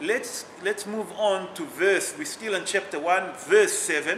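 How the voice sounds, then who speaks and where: A man speaks in a raised, projected voice at a high pitch, with noticeable background noise behind him. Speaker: rabbi teaching a Torah class. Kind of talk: religious text class. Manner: loud.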